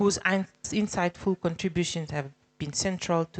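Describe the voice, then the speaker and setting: With fairly even intonation and a moderate pace, a woman speaks in a normal speaking voice, the sound dry and close with no echo. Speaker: government official. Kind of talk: formal speech. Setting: conference hall.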